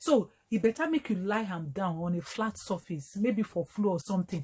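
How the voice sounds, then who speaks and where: A woman's somewhat breathy voice of medium pitch, dark and mellow in tone, at a moderate pace. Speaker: doctor. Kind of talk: health education talk to camera in Nigerian Pidgin.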